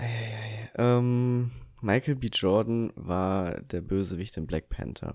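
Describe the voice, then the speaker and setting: Over a silent background in a very clean recording, a man speaks very slowly at a fairly low pitch with ordinary pitch variation. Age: 20s. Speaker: podcast co-host. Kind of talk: casual chat.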